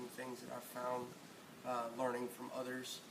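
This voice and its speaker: A man's monotone, flat intonation amid audible room echo and noticeable background noise. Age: 30s. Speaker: car detailing hobbyist. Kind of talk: tutorial. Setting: home garage. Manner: casual, hesitant with fillers.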